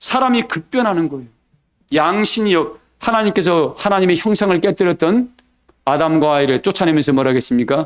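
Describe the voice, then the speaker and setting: A man talks at a fairly quick pace in a high voice, his pitch swinging very widely. The recording is very clean, with a silent background. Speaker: pastor. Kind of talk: sermon. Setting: church service. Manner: animated, call-and-response questions.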